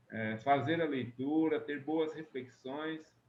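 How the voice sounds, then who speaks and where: A man's very slow speech with fairly even intonation and audible room echo. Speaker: spiritist study group leader. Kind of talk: study group lecture. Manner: soft-spoken.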